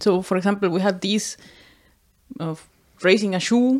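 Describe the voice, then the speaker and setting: Speaking with a Spanish accent, a woman uses a medium pitch at a moderate pace. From Costa Rica. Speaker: podcast co-host. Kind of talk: casual chat.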